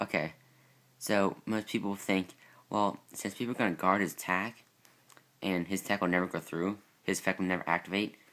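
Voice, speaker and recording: A man's fairly low voice at a moderate pace. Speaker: card game YouTuber. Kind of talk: deck profile tutorial. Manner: casual, hesitant with fillers.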